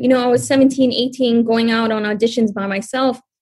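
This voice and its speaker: A woman speaks with an American accent at a fairly high pitch. Hers is an ordinary speaking voice. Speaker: multimedia producer and host. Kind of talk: casual chat.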